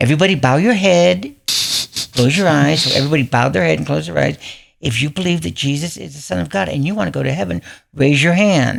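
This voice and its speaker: In an American accent, a man with a fairly high pitch speaks at a very fast pace, with vocal fry and very wide pitch swings. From Southern California, later Michigan. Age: 70s. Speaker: podcast guest. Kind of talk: testimony.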